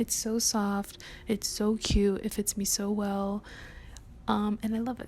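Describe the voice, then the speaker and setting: Whispering at a fairly slow pace, the somewhat breathy voice breaks often into long pauses. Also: woman. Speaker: lifestyle vlogger. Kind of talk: casual chat.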